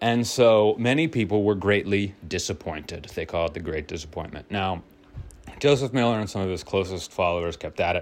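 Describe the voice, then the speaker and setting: A man's fairly low voice, fairly quick, with lively intonation. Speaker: podcast host. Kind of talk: solo monologue. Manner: casual, rambling stream of consciousness.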